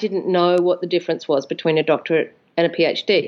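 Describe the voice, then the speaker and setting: A woman with an Australian accent. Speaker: composer. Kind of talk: interview.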